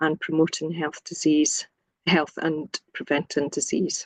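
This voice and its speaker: In a Scottish accent, a woman speaks at a fairly low pitch, and the sound is dry and close with no echo. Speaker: nursing academic. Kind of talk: webinar presentation.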